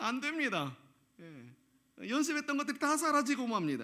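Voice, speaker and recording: Bright, sharp tone marks this man's voice. He speaks at a moderate pace with very wide pitch swings. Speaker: pastor. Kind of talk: sermon. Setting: church.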